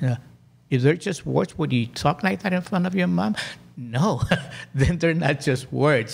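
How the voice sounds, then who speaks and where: The man's voice comes across as somewhat breathy. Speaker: life coach. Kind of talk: casual chat. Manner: slow, calm; halting.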